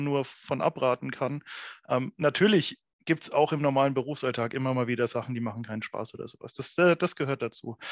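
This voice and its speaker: A man speaks at a fairly high pitch and a fairly quick pace. His pitch variation is ordinary. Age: 30s. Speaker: entrepreneur. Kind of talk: casual chat. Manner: hesitant, many fillers.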